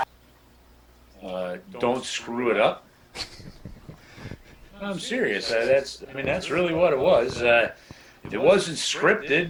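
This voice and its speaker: Against noticeable background noise, a man with a fairly high pitch talks at a fairly slow pace, his pitch swinging very widely between long, frequent pauses. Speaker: radio play-by-play broadcaster. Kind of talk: interview answer, casual talk.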